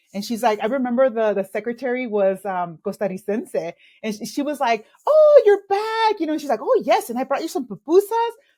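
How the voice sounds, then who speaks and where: This woman talks at a fairly quick pace in a Spanish accent, her high voice dark and mellow in tone and swinging very widely in pitch. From El Salvador, raised in Los Angeles from age eight. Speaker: executive coach. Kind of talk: interview storytelling.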